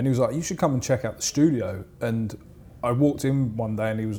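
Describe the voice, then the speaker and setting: A man talks with a southern English accent and fairly even intonation. His tone is dark and mellow, somewhat breathy. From southern England, Portsmouth area. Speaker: music producer. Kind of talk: casual interview chat.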